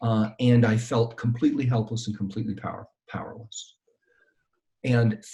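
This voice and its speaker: Somewhat breathy, a man talks at a medium pitch in a dark, mellow tone. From New York, US (immigrant child). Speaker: professor and crisis consultant. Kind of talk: interview.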